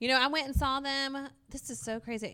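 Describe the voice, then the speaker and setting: A loud woman's voice with a bright, sharp tone on a very clean recording against a silent background. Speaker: middle school math teacher. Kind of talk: casual interview chat. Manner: energetic.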